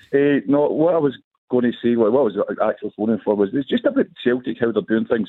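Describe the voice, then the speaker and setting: A man speaks with a Glaswegian accent. His pace is fairly quick. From Glasgow. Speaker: football fan caller. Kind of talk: radio phone-in. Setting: phone call.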